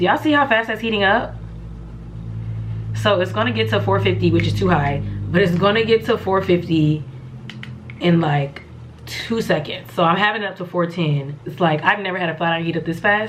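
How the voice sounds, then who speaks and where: In a fairly low pitch that makes very wide swings, a woman speaks with long, frequent pauses, audible room echo and noticeable background noise. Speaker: beauty vlogger. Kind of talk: casual tutorial.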